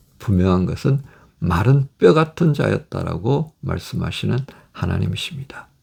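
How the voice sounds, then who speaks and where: A man's medium-pitched voice with vocal fry, very wide pitch swings, and a fairly slow pace. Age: 60s. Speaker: pastor. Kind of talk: sermon.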